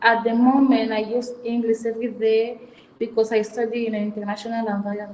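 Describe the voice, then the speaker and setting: A woman's fairly high, monotone voice with flat intonation at a fairly quick pace. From Equatorial Guinea. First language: Spanish. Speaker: student interviewee. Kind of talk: interview answers.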